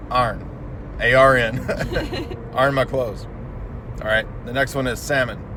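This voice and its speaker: A man speaks at a fairly slow pace. Crowd noise fills the background. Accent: slight Southern US. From Tennessee. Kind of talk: casual talk to camera.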